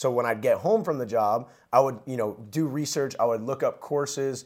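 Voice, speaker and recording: A man in a plain, everyday voice with an American accent, fairly quick pace and ordinary pitch variation, on a very clean recording with a silent background. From New Jersey. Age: 20s. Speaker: entrepreneur. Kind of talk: casual chat.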